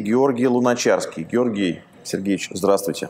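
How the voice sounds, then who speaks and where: A man delivers his words with lively intonation at a moderate pace. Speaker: interviewer host. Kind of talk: interview. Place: studio. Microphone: lapel.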